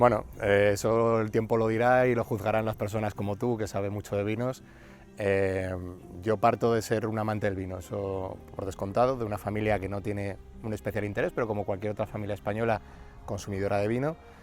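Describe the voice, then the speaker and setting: Fairly low pitch from a man with a Madrid accent, fairly even intonation and a fairly quick pace, with music in the background. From Madrid, Spain. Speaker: winery founder and oncologist. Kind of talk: casual interview. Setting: outdoors in a vineyard.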